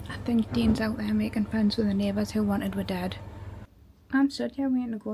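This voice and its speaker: A woman with a Geordie accent, at a fairly quick pace. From northern England, Newcastle. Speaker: travel vlogger. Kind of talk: casual chat.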